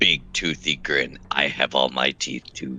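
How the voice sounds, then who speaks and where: At a fairly slow pace, a man delivers a raspy put-on character voice. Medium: actual play. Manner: dry, sarcastic.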